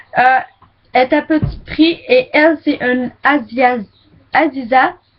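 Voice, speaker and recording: Very slow, high-pitched woman in a Quebec accent, with ordinary pitch variation. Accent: Québécois. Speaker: beauty vlogger. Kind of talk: makeup product review. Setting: webcam recording. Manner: casual, hesitant.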